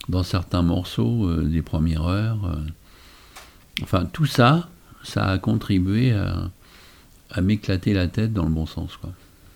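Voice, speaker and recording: Speaking at a very slow pace with long, frequent pauses, a man uses a very deep, low pitch. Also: ordinary pitch variation. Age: 60s. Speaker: magician. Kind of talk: casual chat.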